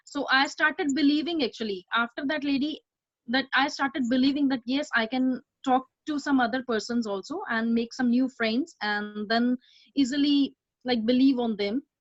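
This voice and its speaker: A moderate pace and ordinary pitch variation, with an Indian accent. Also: woman, high pitch for a woman. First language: not English. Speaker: community volunteer. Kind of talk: personal testimony. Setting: video call. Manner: halting, many fillers.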